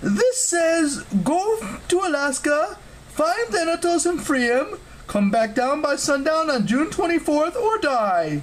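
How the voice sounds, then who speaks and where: A put-on character voice, high-pitched and fairly slow, over clear background noise. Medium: read story.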